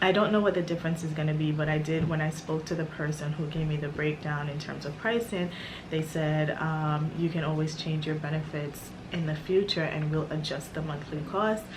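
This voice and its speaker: A woman's very deep, low voice at a fairly quick pace with fairly even intonation, against audible room echo and noticeable background noise. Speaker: lifestyle vlogger. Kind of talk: casual chat. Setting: at home. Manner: halting; soft-spoken.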